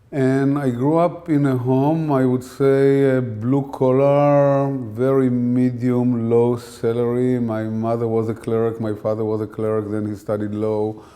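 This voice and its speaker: A man of medium pitch speaks at a fairly slow pace with fairly even intonation and hardly any pauses. The recording has audible room echo and noticeable background noise. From Israel. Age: 60s. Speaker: scientist. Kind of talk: interview.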